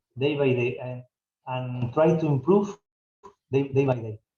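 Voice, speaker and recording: Pitch moves in an ordinary way here. There is some breathiness in the voice. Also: man. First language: Spanish. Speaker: football club director. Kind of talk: Q&A session. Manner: halting.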